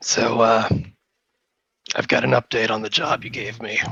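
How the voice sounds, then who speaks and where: In a put-on character voice, a man growls with a raspy sound at medium pitch and a moderate pace. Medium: actual play. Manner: gruff, plainspoken.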